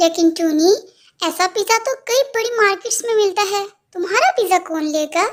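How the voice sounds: A woman uses a cartoonish character voice pitched extremely high. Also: moderate pace.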